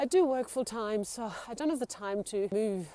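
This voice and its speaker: A woman with a dark, mellow tone speaks at a moderate pace with lively intonation. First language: not English. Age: 40s. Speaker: solo living vlogger. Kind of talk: casual talk to camera. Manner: halting, with fillers.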